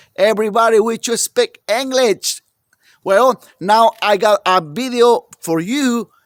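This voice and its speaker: A man with a strong non-native accent at a very slow pace, the sound dry and close with no echo. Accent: heavy foreign. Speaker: small engine repair mechanic. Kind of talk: tutorial. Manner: halting.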